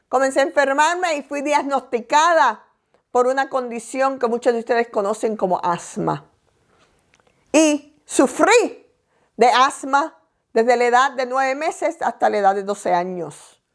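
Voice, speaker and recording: A woman with a high pitch and lively intonation speaks at a fairly slow pace on a very clean recording with a silent background. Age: 60s. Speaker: pastor. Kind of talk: sermon.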